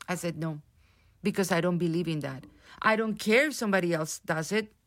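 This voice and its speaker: A woman speaks with a Spanish accent and lively intonation. The recording is very clean, with a silent background. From Colombia. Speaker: theatre director. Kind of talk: interview. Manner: halting.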